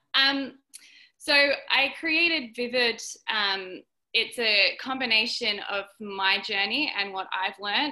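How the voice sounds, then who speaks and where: A woman's fairly high voice with an Australian accent, bright and sharp in tone, with ordinary pitch variation. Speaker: dancer and dance educator. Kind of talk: interview.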